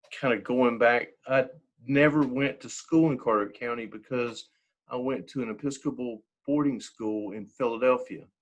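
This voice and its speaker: A man talks at a moderate pace at medium pitch with fairly even intonation. He has a plain, everyday voice. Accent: American. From eastern North Carolina. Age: 60s. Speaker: church member. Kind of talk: interview. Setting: video call.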